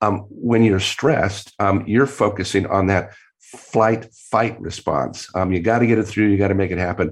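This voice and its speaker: Speaking at a moderate pace, a man with a fairly low pitch shows ordinary pitch variation. He barely pauses. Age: 60s. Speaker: creativity professor and author. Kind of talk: interview. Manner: hesitant, repeats words.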